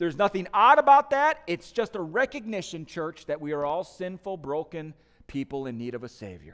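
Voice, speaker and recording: A man with a Midwestern accent at a moderate pace, high-pitched with very wide pitch swings, on a very clean recording with a silent background. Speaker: pastor. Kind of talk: sermon.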